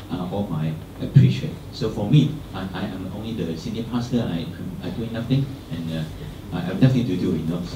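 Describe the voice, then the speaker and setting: A man with a Hong Kong accent speaks at a fairly quick pace with lively intonation and a very deep, low pitch. Noticeable background noise and audible room echo are present. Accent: Hong Kong Cantonese-accented English. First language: Cantonese. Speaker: senior pastor. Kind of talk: speech at a round table meeting. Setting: meeting with audience. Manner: halting, many repetitions and fillers.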